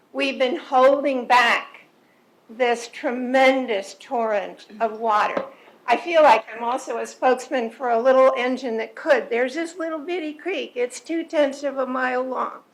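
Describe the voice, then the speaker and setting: A woman with a high-pitched voice is heard over noticeable background noise. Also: ordinary pitch variation, fairly slow pace. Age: 70s. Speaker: resident speaking at public comment. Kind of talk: public comment at board meeting. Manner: animated.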